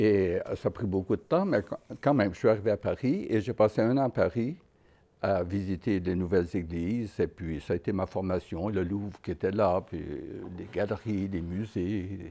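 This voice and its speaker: The voice has a dark, mellow tone and ordinary pitch variation, moving at a moderate pace. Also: man, fairly low pitch for a man. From Quebec, Trois-Rivières area; Quebec. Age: 80s+. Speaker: Dominican friar and painter. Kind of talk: personal reminiscence interview. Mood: calm, reflective. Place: workshop.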